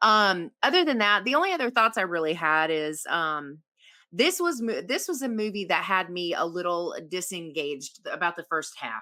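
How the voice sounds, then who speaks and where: In a very clean recording with a silent background, a woman with a Southern US accent speaks at a moderate pace in a medium-pitched, bright, sharp voice with lively intonation. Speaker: horror podcast guest panelist. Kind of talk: casual discussion, movie review. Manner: hesitant, many fillers and restarts.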